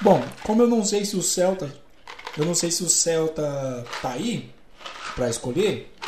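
With noticeable background noise and audible room echo, a man speaks very slowly at a high pitch, his pitch swinging very widely. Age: 30s. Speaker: live stream host. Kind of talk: casual chat. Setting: live stream from home.

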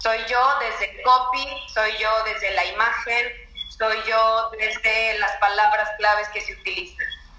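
A woman talks very slowly at a fairly high pitch with monotone, flat intonation. Audible room echo and noticeable background noise are present. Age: 20s. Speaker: marketing expert. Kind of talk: interview.

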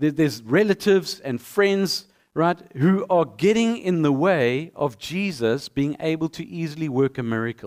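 The sound is dry and close, with no echo. The voice moves at a moderate pace with lively intonation and hardly any pauses. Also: man, fairly high pitch for a man. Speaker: pastor. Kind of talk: sermon. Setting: church. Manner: animated, conversational with audience interaction.

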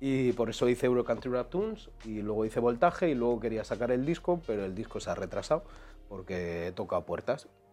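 A man with a Madrid accent talks at a fairly quick pace using lively intonation. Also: medium pitch for a man. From Madrid, Spain (east, Quintana). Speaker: singer and rapper. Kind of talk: casual chat. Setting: studio with video recording.

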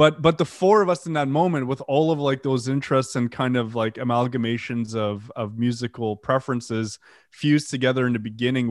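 A man with a medium-pitched voice talks at a fairly quick pace, his pitch rising and falling in an ordinary way. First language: French. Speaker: death metal musician. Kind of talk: interview. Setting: video call.

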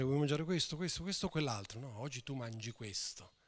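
This is a man speaking. His intonation is lively. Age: 50s. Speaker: pastor. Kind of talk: sermon.

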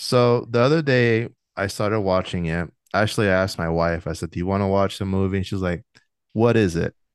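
Using an ordinary speaking voice, a man with an American accent talks at a fairly quick pace in a fairly low pitch, with ordinary pitch variation and a quiet background. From New York. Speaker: podcast host and interviewer. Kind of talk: casual interview chat. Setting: video call.

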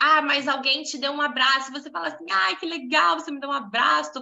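A woman projects a raised voice at a fairly quick pace, high in pitch with a bright, sharp tone. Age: 20s. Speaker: women's devotional group leader. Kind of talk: casual devotional talk. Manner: animated.

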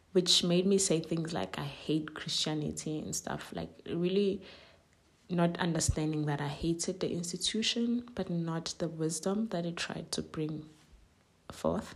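Here a woman speaks with a Zulu accent. Her pace is fairly slow and her pitch fairly low. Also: ordinary pitch variation. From South Africa. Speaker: podcast host. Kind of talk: solo reflective monologue.

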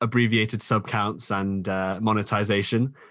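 Speaking at a moderate pace with a British accent, a man uses a fairly low pitch and monotone, flat intonation over a quiet background. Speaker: podcast host and small YouTuber. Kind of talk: casual podcast interview.

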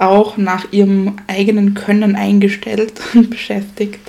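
Amid noticeable background noise, a woman talks fairly slowly at a medium pitch in a flat monotone. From Styria, Austria. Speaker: history podcast co-host. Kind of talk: casual history storytelling.

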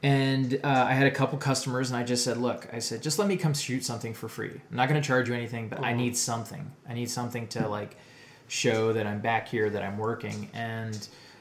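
Speaking very fast, a man with an American accent talks at a medium pitch over noticeable background noise. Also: fairly even intonation. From northeast Ohio, US. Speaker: video producer. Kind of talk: casual chat.

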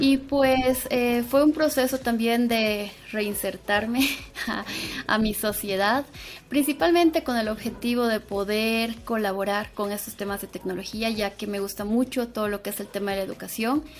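A woman speaks with a fairly high pitch at a fairly slow pace. Noticeable background noise is present. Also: ordinary pitch variation. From Bolivia (Sucre). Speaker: AI engineer and instructor. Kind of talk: casual interview.

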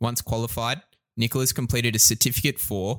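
On a very clean recording with a silent background, a man with an Australian accent talks at a very fast pace with fairly even intonation. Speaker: podcast co-host. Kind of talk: casual interview.

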